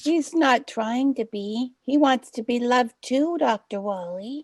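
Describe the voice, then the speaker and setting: A female-sounding, put-on character voice, high-pitched, speaks at a fairly slow pace over a quiet background. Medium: audio drama. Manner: warm, gentle.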